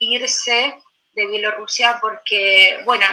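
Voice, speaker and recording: This is a woman speaking. Her pace is fairly slow. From Belarus (Gomel), then Buenos Aires from age 10. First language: Russian (speaking Spanish). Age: 30s. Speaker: poet. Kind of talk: interview.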